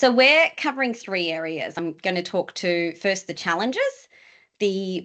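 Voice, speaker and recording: A woman with a plain, everyday voice, fairly low in pitch, with ordinary pitch variation, a moderate pace and a quiet background. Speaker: employment lawyer presenting to HR leaders. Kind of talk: webinar presentation. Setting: online webinar.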